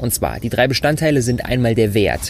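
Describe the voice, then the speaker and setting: At a fairly slow pace, a man speaks in an animated tone. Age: 20s. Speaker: entrepreneur. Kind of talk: solo podcast talk. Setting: outdoors on rooftop terrace.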